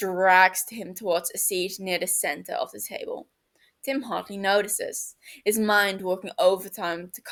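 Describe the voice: Plain reading aloud is heard, and the background is quiet.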